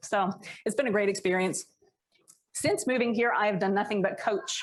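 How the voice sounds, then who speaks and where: A woman with an American accent, fairly high pitch, moderate pace and very even loudness. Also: ordinary pitch variation. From United States. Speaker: leadership coach. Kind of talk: workshop talk. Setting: stage with live audience.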